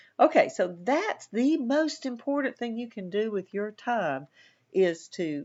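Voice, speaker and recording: A woman with a Southern US accent and very wide pitch swings. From US South. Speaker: college instructor. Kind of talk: lecture. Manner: sometimes mumbles; casual, conversational.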